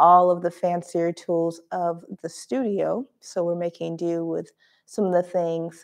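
Against a quiet background, a woman speaks at a fairly slow pace with a fairly low pitch. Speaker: yoga instructor. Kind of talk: class introduction. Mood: warm, friendly. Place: home room.

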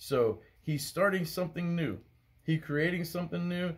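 A man's somewhat breathy voice. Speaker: bible study teacher. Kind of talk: bible study teaching. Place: home room. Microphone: phone near.

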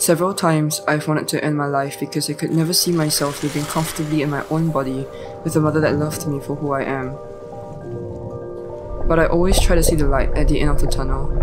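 Very fast speech over music in the background. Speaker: voice actor. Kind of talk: first-person story narration for animation. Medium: read story.

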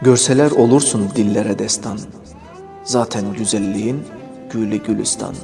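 With music in the background, a man at a medium pitch speaks at a fairly slow pace. He leaves long, frequent pauses, and his intonation stays fairly even. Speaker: poet reading his own poem. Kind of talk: poetry reading over background music.

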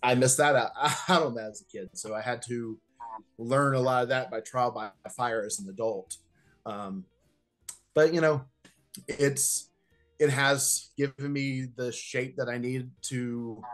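The speech is fairly slow, with ordinary pitch variation, long, frequent pauses and big swings in loudness. Faint music plays in the background. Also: man. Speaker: remote interview guest. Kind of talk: interview answer. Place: home room. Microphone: video call.

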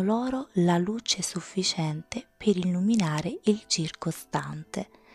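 Gentle and soothing, a woman's somewhat breathy voice moves at a very slow pace. Her intonation is lively. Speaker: ASMR storyteller reading her own tales. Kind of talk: bedtime story reading aloud, ASMR style. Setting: home recording, close-mic ASMR. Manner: slow, soft-spoken, soothing; gentle, dreamy, measured storytelling pace.

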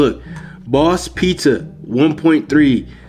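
Over faint music in the background, a man talks with ordinary pitch variation. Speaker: vlogger. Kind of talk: casual vlog chat. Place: home room. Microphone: phone near.

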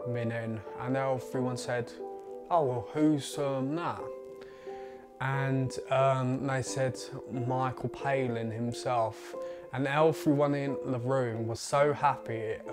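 Very slow speech over clear music in the background. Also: man. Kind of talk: personal account in documentary. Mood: earnest, reflective. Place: home room. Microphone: lapel.

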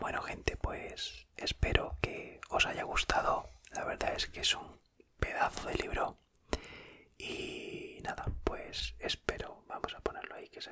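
A soft-spoken man whispers at a very slow pace, his loudness swinging widely. Light background noise sits behind him. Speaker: streamer reading a book. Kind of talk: reading aloud from a poetry book. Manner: soft whispered closing remarks. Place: home room. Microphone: studio mic.

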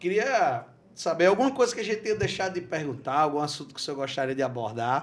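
Very fast talk from a man, fairly high-pitched, with very wide swings in pitch. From Brazil. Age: 40s. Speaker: podcast host. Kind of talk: interview. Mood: warm, friendly. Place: studio. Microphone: studio mic.

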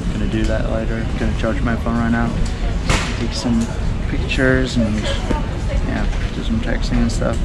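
Heavy noise fills the background. Over it, a man speaks at a medium speed. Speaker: travel vlogger. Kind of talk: casual vlog chat. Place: station. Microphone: phone near.

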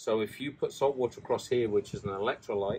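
A man talks fast at a fairly low pitch, his dark, mellow tone carrying a husky, rough edge and ordinary pitch variation.

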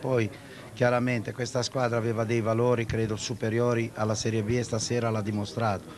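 A man's medium-pitched voice in a flat, monotone delivery. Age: 60s. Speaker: football club president. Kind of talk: interview answer. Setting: outdoors.

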